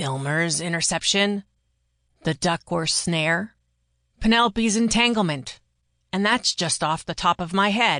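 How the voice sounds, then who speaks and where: A female-sounding, put-on character voice at a middle pitch speaks at a moderate pace. Long pauses come often. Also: quiet background. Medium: read story. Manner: exasperated.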